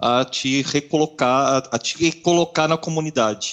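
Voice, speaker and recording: A man speaking at a very slow pace. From Brazil, Marília (São Paulo state interior). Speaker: software engineer, podcast co-host. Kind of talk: casual chat.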